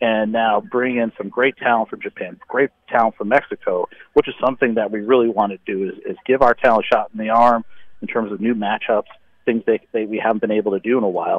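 A man's plain, everyday voice at a medium pitch and a fairly quick pace. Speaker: wrestling promoter. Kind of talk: casual interview. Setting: phone call. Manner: hurried, repetitive fillers.

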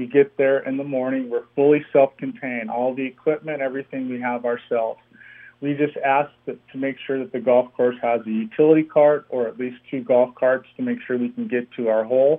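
A man with a normal speaking voice, medium in pitch, at a fairly quick pace with fairly even intonation. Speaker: comedian and golf company founder. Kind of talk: casual interview. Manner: humorous, laughing.

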